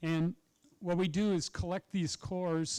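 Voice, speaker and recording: A man talks at a fairly slow pace in a high pitch with ordinary pitch variation and a dark, mellow tone. The sound is dry and close, with no echo. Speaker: professor of microbiology. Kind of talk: public lecture. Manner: loud when excited.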